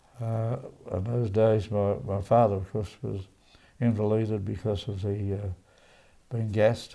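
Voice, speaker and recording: A man with an Australian accent, fairly low-pitched and dark, mellow in tone, at a fairly slow pace with fairly even intonation and long, frequent pauses. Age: 80s+. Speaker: centenarian interviewee. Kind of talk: life story interview. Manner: halting.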